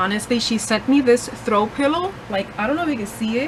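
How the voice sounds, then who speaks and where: Noticeable background noise sits behind a woman with a Puerto Rican accent. She speaks at a fairly quick pace and fairly high pitch with ordinary variation. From Puerto Rico. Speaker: book vlogger. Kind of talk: casual vlog.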